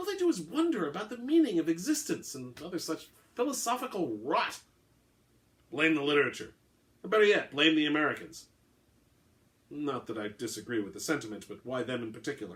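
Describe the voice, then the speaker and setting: Pausing long and often, a man talks at a fairly high pitch with vocal fry and very wide pitch swings. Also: big swings in loudness. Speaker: author. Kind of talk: short fiction reading, all-dialogue story.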